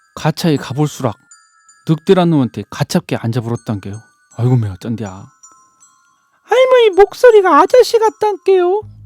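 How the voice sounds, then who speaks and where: Music plays in the background as the speaker goes at a moderate pace with long, frequent pauses. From Jeonju, North Jeolla, South Korea. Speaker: non-professional local resident. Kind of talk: fairy tale storytelling.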